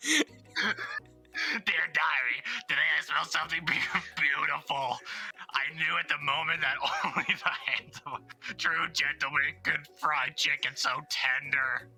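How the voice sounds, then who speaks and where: Faint music plays behind a man doing a raspy, put-on character voice at a fairly high pitch and a fairly slow pace. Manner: sweet, innocent.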